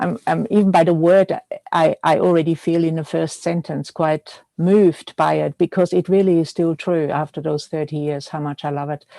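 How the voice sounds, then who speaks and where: In a slight Austrian accent, a woman speaks at a moderate pace with a fairly low pitch, a dark, mellow tone and fairly even intonation, in a dry, close sound with no echo. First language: German. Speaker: milliner. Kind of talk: interview. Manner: halting.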